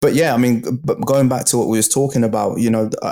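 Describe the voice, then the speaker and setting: The speech moves at a fairly quick pace in a dark, mellow tone with monotone, flat intonation. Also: man. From England. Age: 30s. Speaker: barber and entrepreneur. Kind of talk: interview life story. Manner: casual, colloquial.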